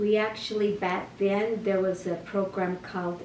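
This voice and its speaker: Someone with an American accent talks with fairly even intonation, in a recording with audible room echo and noticeable background noise. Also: woman. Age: 70s. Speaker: interviewee, grandmother. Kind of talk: interview.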